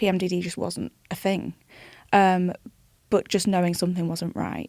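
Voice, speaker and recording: Delivered at a moderate pace in a British accent, the voice is monotone and flat, with a dry, close sound and no echo. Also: woman, medium pitch for a woman. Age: 20s. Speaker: charity founder. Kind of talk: interview. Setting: studio.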